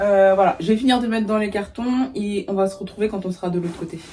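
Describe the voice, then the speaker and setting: A woman's medium-pitched voice at a moderate pace, with ordinary pitch variation, over noticeable background noise. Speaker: lifestyle vlogger. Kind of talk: casual vlog talk to camera. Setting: at home in her bedroom.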